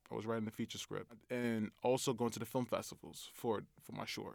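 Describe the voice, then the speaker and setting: A man with an American accent speaks at a medium pitch and a moderate pace in a very clean recording with a silent background. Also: big swings in loudness. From Brooklyn, New York. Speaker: film director. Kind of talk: casual interview.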